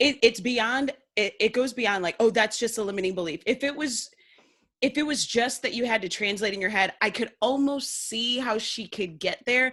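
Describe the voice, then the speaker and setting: A woman with a Northern US accent speaks at a moderate pace and a fairly high pitch. Her tone is animated and bright, sharp, with ordinary pitch variation. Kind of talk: casual interview chat.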